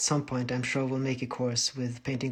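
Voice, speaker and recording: Noticeable background noise sits under a very fast, monotone delivery with flat intonation. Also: man. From Norway. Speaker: painter streaming live. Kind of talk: livestream tutorial. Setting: livestream. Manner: casual, with fillers.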